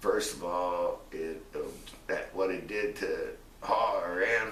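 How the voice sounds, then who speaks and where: A man talks at a very slow pace. The recording has audible room echo and noticeable background noise. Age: 60s. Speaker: retired pro wrestler. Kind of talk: interview. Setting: at his home.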